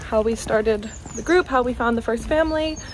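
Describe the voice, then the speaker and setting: A woman at a fairly high pitch with ordinary pitch variation, amid noticeable background noise. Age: 20s. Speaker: biomedical science graduate, vlogger. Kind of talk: casual chat. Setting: outdoors, walking.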